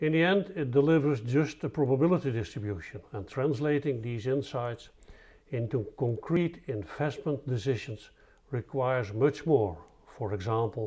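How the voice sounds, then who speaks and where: A man's dark, mellow, somewhat breathy voice at medium pitch with a Dutch accent, lively intonation and moderate pace over a quiet background. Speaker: statistician presenting research. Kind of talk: scripted presentation.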